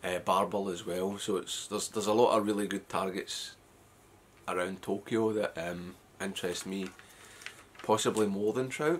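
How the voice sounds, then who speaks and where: With a Scottish accent, a man speaks at a fairly low pitch and a moderate pace. His intonation is fairly even, with long, frequent pauses. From west of Scotland. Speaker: fly fishing vlogger. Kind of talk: casual vlog talk. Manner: hesitant, many fillers.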